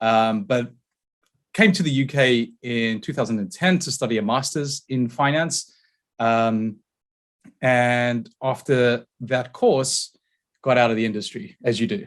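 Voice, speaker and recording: In a very clean recording with a silent background, a man with a South African accent speaks fairly slowly with ordinary pitch variation. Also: medium pitch for a man. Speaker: tech company founder and CEO. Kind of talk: podcast interview.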